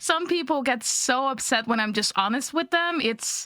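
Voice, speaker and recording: A woman's raised, projected voice, high in pitch with lively intonation and a slight Dutch accent, over noticeable background noise. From Netherlands. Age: 20s. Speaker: video game content creator. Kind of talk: casual podcast chat. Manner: blunt.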